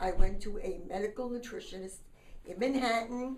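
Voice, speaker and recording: A woman with a fairly high pitch speaks at a moderate pace with ordinary pitch variation, and the room echo is audible. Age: 70s. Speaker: diet center founder. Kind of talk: personal testimony.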